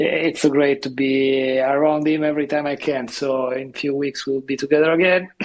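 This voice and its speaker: A man with a fairly high pitch delivers his words at a moderate pace in a monotone, flat intonation. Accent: Italian. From Italy. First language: Italian. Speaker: seascape photographer. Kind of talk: casual chat.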